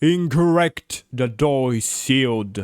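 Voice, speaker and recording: A man's loud, resonant, put-on character voice at medium pitch. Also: fairly slow pace. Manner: authoritative, commanding.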